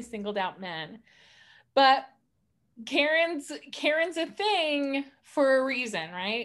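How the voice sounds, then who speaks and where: This woman has an American accent and a high pitch. Her intonation is lively on a very clean recording with a silent background. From Montana, US. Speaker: podcast co-host. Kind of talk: casual chat.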